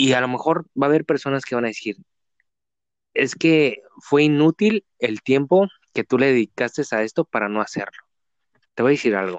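This man's voice is fairly high in pitch, with lively intonation, a moderate pace and long, frequent pauses, recorded with a dry, close sound and no echo. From Mexico, Tijuana. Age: 20s. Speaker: podcast host. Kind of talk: casual interview. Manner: halting, many fillers.

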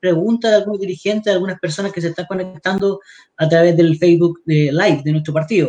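His pitch varies in an ordinary way. The man talks very fast. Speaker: party livestream host. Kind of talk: talk show interview.

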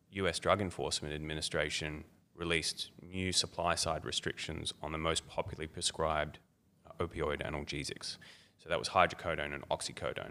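Bright and sharp in tone, the voice keeps a moderate pace and fairly even intonation. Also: man. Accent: Australian. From Australia, Melbourne. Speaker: academic researcher on darknet drug markets. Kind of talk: interview. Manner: hesitant with many fillers.

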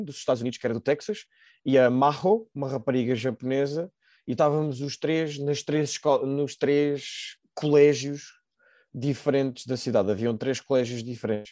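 In a Lisbon accent, a man speaks at a fairly high pitch. His tone is dark and mellow, over a quiet background. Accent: European Portuguese, Lisbon. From Portugal, Lisbon. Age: 20s. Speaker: nurse, former exchange student. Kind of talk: casual interview.

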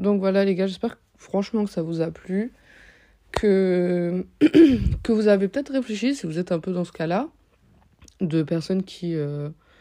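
Here a woman talks at medium pitch in a dark, mellow tone. Her pitch variation is ordinary. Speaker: podcast host. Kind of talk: casual monologue. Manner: hesitant, many fillers.

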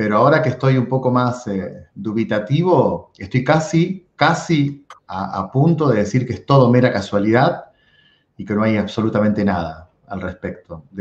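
A man with a Rioplatense accent, medium pitch, a somewhat breathy sound, lively intonation and a moderate pace. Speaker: podcast host. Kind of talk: casual interview chat.

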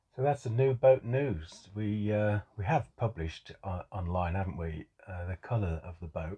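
In an English accent, a man talks at a moderate pace with hardly any pauses. His fairly low, somewhat breathy voice has lively intonation. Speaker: podcast co-host. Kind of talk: casual chat.

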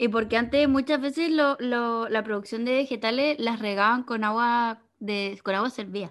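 With a Chilean accent and hardly any pauses, a woman talks in a fairly high voice over a quiet background. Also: ordinary pitch variation, moderate pace. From southern Chile (Chiloé). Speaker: podcast co-host. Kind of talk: casual chat.

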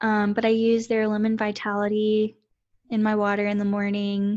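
In a quiet background, a woman speaks with an American accent at a medium pitch. Her delivery is moderate in pace, with monotone, flat intonation. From Central Texas, US. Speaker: counselor, podcast host. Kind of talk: casual chat.

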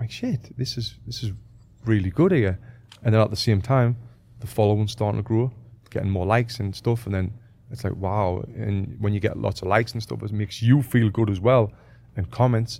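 A man's fairly low-pitched, somewhat breathy voice with a dark, mellow tone and fairly even intonation. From northeast England. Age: 30s. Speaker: boxing coach and former Olympic boxer. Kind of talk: casual interview chat. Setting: studio.

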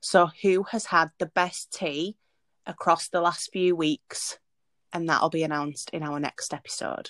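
Recorded very cleanly against a silent background, with a dry, close sound and no echo, a woman with a Yorkshire accent speaks at a fairly slow pace in a fairly low pitch with fairly even intonation. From Leeds, Yorkshire, northern England. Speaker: podcast co-host. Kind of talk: casual chat.

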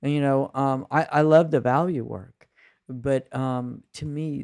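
A man has a normal speaking voice at medium pitch with ordinary pitch variation and a fairly slow pace. The sound is dry and close with no echo. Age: 60s. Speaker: spiritual coach and mindfulness teacher. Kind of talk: casual chat.

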